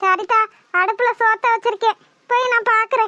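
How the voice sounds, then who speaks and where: Squeaky and extremely high, a woman's cartoonish character voice moves at a fairly slow pace with monotone, flat intonation in a dry, close sound with no echo. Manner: blunt, earthy.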